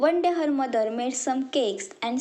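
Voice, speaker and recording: A woman speaks at a fairly slow pace with an Indian accent. Her pitch is high, and her tone is dark and mellow. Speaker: college student. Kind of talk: children's story narration.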